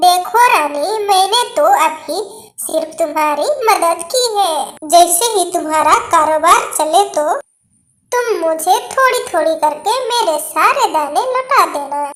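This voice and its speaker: An extremely high-pitched cartoonish character voice. The pace is fairly slow. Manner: authoritative, advising.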